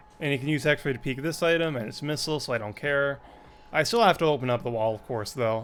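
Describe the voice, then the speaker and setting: This man speaks very fast with lively intonation. His pitch is fairly high. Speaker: speedrunner. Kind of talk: gameplay commentary. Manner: casual, hesitant with fillers.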